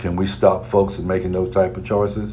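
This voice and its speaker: Amid noticeable background noise and audible room echo, a man with a very deep, low voice speaks at a moderate pace with lively intonation. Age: 60s. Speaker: radio talk show host. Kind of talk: radio commentary.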